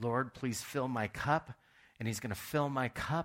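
At a fairly slow pace, this is an unremarkable speaking voice with ordinary pitch variation. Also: man. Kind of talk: sermon; fervent prayer. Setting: church. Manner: earnest, pleading, heartfelt; conversational, warm.

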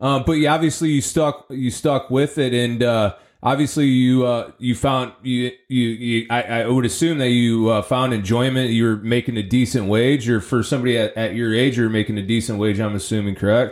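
A man speaks in a normal speaking voice with medium pitch and fairly even intonation, at a moderate pace with hardly any pauses. His loudness is very even, and the recording is very clean with a silent background. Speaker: podcast host, ironworker. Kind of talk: interview.

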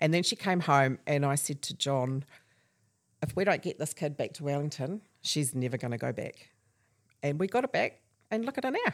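Someone with a New Zealand accent speaks at a moderate pace with lively intonation and long, frequent pauses. The recording is very clean, with a silent background. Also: woman, very deep, low pitch for a woman. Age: 60s. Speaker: clothing store owner. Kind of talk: casual chat. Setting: family beach house.

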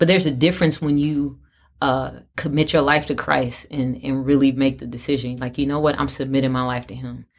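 A woman's very deep, low voice with vocal fry, fairly quick and fairly even in intonation, on a very clean recording with a silent background. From South Side of Chicago. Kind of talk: interview conversation.

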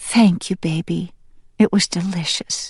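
In a put-on character voice, a woman speaks slowly at a fairly low pitch with a husky, rough edge and fairly even intonation, on a very clean recording with a silent background.

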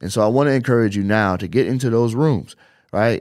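Recorded very cleanly against a silent background, a man with an American accent speaks with a dark, mellow tone at a fairly low pitch. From Chicago, US Midwest. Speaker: social media content producer. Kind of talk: talk to camera, business advice. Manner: casual, filler-heavy.

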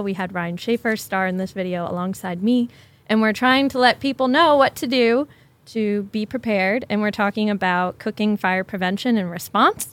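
At a moderate pace, a normal speaking voice with an American accent shows ordinary pitch variation. The background is silent on this very clean recording. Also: woman. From US Northeast, Connecticut. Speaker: emergency preparedness coordinator. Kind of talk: casual interview. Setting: studio.

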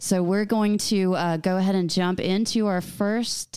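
A woman with a Texas accent, medium pitch and a dark, mellow tone, at a very slow pace, in a very clean recording with a silent background and a dry, close sound with no echo. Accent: Texas twang. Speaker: retired military aviator, podcast host. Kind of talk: casual comedic chat, intro.

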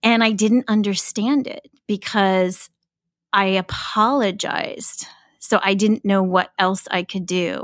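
On a very clean recording with a silent background, a woman speaks at a very slow pace with fairly even intonation. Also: medium pitch for a woman, dry, close sound with no echo. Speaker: podcast co-host. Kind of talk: casual conversational podcast chat.

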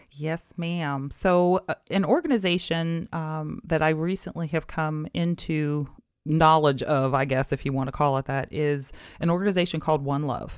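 Speaking in an American accent, a woman has a very deep, low pitch and fairly even intonation. Her pace is moderate, on a very clean recording with a silent background. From Ohio, near Wheeling, West Virginia. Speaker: pageant titleholder. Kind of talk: interview conversation.

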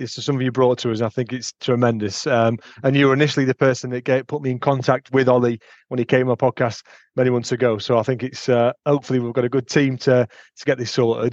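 Against a quiet background, a man with a Yorkshire accent speaks at a fairly quick pace and a medium pitch. His intonation is monotone and flat, and the sound is dry and close with no echo. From Sheffield, northern England. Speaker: podcast host, recruitment company director. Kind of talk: casual chat.

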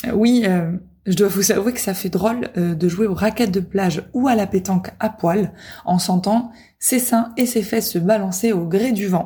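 A somewhat breathy voice with a dark, mellow tone moves at a fairly slow pace with ordinary pitch variation. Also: woman, medium pitch for a woman, very clean recording, silent background. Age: 30s. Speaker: podcast host. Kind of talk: casual monologue. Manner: hesitant, many fillers.

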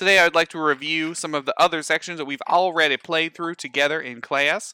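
A man with an American accent talks at a fairly quick pace in a fairly high pitch, his tone bright and sharp. The recording is very clean and silent behind him, with a dry, close sound and no echo. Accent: putting on a Southern US accent, inconsistent. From not the US South. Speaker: band teacher. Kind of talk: educational podcast lesson. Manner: chatty, halting, with repetitions.

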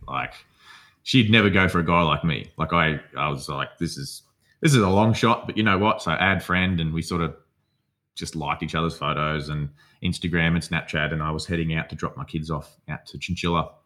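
This man has a very deep, low pitch and a bright, sharp tone, speaking at a fairly quick pace with ordinary pitch variation. The recording is very clean, with a silent background. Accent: strong Australian. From outback Australia. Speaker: psychotherapy student and former fighter. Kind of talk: casual interview conversation.

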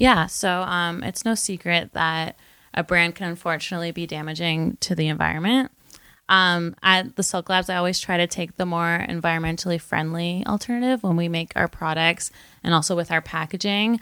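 The recording is very clean with a silent background as a woman speaks in a Canadian accent, her pitch fairly low and her tone bright and sharp. She keeps a moderate pace with ordinary pitch variation. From Windsor, Ontario, Canada. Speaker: small business owner. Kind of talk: interview.

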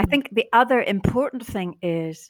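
A woman in a Scottish accent, fairly high in pitch with ordinary variation, at a moderate pace, on a very clean recording with a silent background. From Scotland. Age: 70s. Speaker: former head teacher and image consultant. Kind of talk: casual interview chat. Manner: hesitant, many filler words.

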